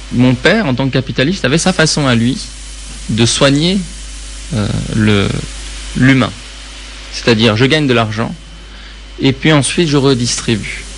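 Fairly slow, with long, frequent pauses, the speech holds a very even loudness and ordinary pitch variation against noticeable background noise. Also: man, medium pitch for a man. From Iran. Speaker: public speaking consultant. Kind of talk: interview.

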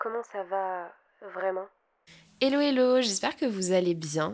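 At a fairly slow pace, a woman talks in an unremarkable speaking voice with a medium pitch and ordinary pitch variation. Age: 20s. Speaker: podcast host. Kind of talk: casual chat.

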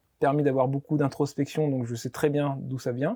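A man at medium pitch, in a monotone with flat intonation. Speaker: olive oil producer. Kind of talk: interview.

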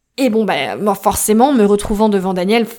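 A woman's voice at a fairly high pitch, fairly slow pace and ordinary pitch variation. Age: 30s. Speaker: podcast host. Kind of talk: personal storytelling.

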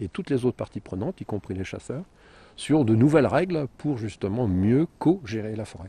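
A man's somewhat breathy, dark, mellow voice with very wide pitch swings at a fairly quick pace, dry and close with no echo against a quiet background. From northern France, Compiègne (Picardy). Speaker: wildlife photographer and journalist, author. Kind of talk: interview. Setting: outdoors in a forest. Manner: hesitant, with repetitions.

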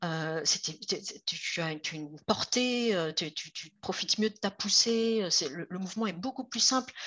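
A woman's unremarkable speaking voice, medium in pitch, fairly slow with lively intonation and hardly any pauses. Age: 50s. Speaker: roller skater and magazine founder. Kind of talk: interview.

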